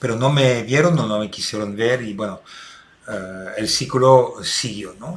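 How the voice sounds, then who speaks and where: With noticeable background noise behind him, a man speaks at a fairly slow pace and medium pitch, with ordinary pitch variation. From Belgium. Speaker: restorative justice consultant. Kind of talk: recorded talk for online seminar. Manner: hesitant with many fillers.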